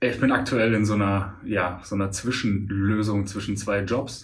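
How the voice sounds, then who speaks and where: Against audible room echo, a man speaks slowly in a fairly low pitch, at a fairly slow pace. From Münster, Westphalia, Germany. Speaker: stand-up comedian. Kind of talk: casual interview chat.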